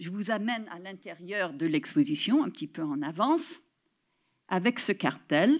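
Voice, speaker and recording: A woman with an English accent talks with very wide pitch swings. The recording is very clean, with a silent background. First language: English (speaking French). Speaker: professor. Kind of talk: lecture. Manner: halting.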